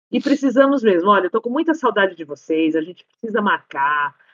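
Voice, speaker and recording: A woman speaks with lively intonation at a medium pitch. Hers is a plain, everyday voice. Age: 50s. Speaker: podcast guest. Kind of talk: casual chat.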